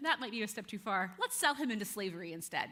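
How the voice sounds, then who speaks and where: Talking at a very fast pace, a woman's pitch swings very widely against noticeable background noise. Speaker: youth pastor. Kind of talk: sermon. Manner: casual, conversational.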